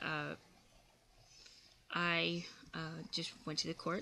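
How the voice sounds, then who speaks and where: A woman speaks with a fairly low pitch. Her intonation stays monotone and flat. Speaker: video blogger. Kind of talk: vlog monologue. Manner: halting, many fillers.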